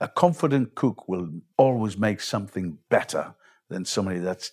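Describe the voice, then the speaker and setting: Lively in intonation, a man speaks at a fairly quick pace, the sound dry and close with no echo. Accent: Geordie. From northern England, South Shields. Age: 60s. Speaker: chef. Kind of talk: interview.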